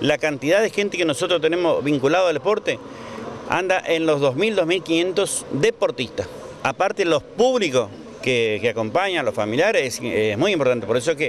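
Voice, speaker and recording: A man at a moderate pace in a dry sound with no echo, with light background noise. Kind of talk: interview answer. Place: street. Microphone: handheld.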